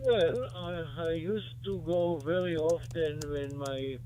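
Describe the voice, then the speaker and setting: A man talks with ordinary pitch variation while audible room echo and noticeable background noise fill the recording. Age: 80s+. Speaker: ham radio operator. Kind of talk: casual chat. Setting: radio contact. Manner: formal.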